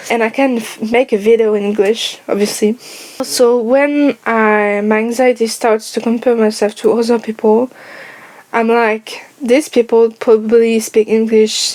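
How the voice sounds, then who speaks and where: A woman's fairly high-pitched voice with a slight French accent, monotone and flat, at a fairly slow pace over noticeable background noise. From France. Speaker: YouTuber. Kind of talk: personal vlog monologue.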